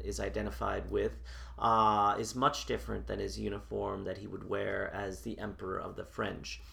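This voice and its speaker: The room echo is audible here. A man's delivery keeps a moderate pace. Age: 40s. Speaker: historian and reenactor. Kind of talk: interview, historical explanation. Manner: formal.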